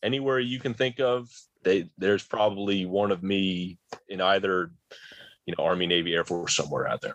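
This man talks fairly quickly in a normal speaking voice, his pitch varying in an ordinary way. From rural New Jersey. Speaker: army entomologist. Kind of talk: interview.

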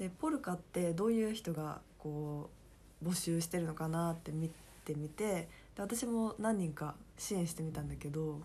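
At a moderate pace, a woman speaks somewhat breathily in a dark, mellow tone, fairly low in pitch with ordinary pitch variation. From Kansai, Japan. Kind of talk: casual chat.

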